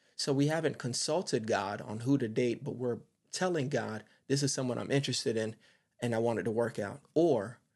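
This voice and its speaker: A man speaks at a medium pitch with vocal fry. His pitch varies in an ordinary way, and the background is quiet. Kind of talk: sermon-style monologue. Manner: fast talker; animated.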